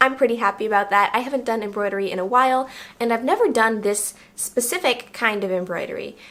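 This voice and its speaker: With noticeable background noise behind her, a woman talks at a very fast pace with ordinary pitch variation. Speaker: sewing youtuber. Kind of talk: vlog narration. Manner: casual with fillers.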